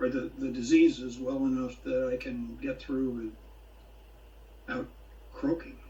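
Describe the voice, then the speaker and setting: Fairly slow male speech over noticeable background noise. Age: 70s. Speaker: blogger. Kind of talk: casual chat. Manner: halting, many fillers.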